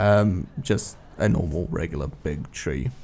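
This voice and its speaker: A man speaks with music playing in the background. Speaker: gaming youtuber. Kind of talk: gameplay commentary voiceover.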